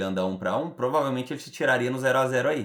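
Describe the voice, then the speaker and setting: A man at a very fast pace with lively intonation. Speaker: trading instructor. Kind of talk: group study session.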